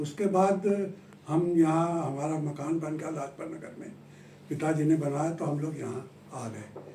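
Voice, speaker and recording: Noticeable background noise and audible room echo surround a man speaking at a fairly high pitch. His intonation stays fairly even while his loudness swings widely. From Kanpur, Uttar Pradesh, India. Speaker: writer. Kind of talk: interview. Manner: halting.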